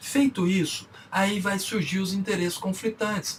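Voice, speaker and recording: Noticeable background noise behind a man with a Minas Gerais accent, high pitch and moderate pace. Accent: Minas Gerais (mineiro). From Brazil, Minas Gerais. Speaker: business speaker and consultant. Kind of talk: lecture. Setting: online conference talk.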